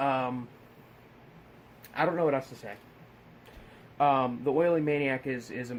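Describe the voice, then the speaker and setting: A man mumbles. His voice sits at a medium pitch. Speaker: horror film reviewer. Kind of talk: casual film review monologue. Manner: mumbling, repeating words; excited, animated.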